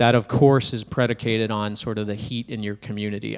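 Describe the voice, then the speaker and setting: A man speaks with an American accent at a moderate pace. He has a plain, everyday voice at a medium pitch. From New Hampshire, US. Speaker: startup founder. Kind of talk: casual interview.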